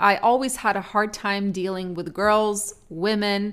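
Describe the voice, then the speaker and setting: At a fairly slow pace, a woman with an Eastern European accent speaks at a medium pitch. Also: very clean recording, silent background. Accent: Eastern European-tinged English, noticeable. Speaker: trucking podcaster and YouTuber. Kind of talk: casual solo podcast monologue. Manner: conversational, personal, chatty.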